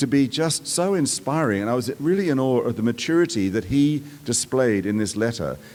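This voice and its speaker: Lively intonation marks the speech of a man with a medium pitch and an Australian accent. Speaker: performing arts executive, commencement speaker. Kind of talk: commencement address. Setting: outdoor amphitheater with audience.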